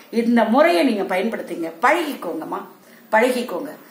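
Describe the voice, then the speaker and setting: In a room with audible echo, a woman speaks at a fairly high pitch. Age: 60s. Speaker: home remedy video blogger selling herbal products; herbal product seller. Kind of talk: tutorial vlog addressing viewers. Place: home room. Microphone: phone near.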